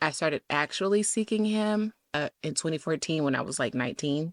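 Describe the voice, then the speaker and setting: Recorded very cleanly against a silent background, a woman with a Southern US accent speaks in a fairly low pitch with ordinary pitch variation, the sound dry and close with no echo. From US South. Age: 20s. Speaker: podcast host. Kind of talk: casual monologue. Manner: casual, with many fillers.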